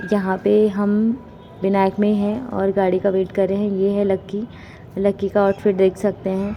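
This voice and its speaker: Music plays behind a woman speaking at medium pitch in a flat, monotone delivery. She leaves long, frequent pauses. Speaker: vlogger. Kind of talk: casual vlog narration. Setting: outdoors walking, then in a car.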